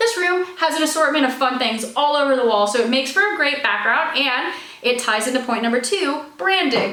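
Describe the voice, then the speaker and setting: Projecting a raised, energetic voice at a high pitch, a woman speaks at a fairly quick pace with lively intonation and very even loudness, amid noticeable background noise and audible room echo. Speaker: author and video creator. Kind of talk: casual vlog talk to camera. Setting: home office. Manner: fast.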